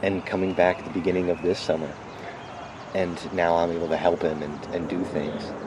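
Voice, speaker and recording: With an American accent, a man talks at a fairly quick pace in a very deep, low pitch. His intonation is monotone and flat, and there is noticeable background noise. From Manchester, Connecticut. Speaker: volunteer. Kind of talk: casual interview. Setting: outdoors in a golf cart. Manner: quiet.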